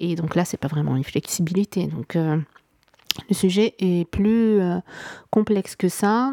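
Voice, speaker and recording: With a dark, mellow tone at medium pitch, a woman speaks at a fairly slow pace with long, frequent pauses and ordinary pitch variation, the sound dry and close with no echo. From Morocco. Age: 30s. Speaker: podcast host. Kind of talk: solo monologue, unscripted reflection. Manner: hesitant, many fillers.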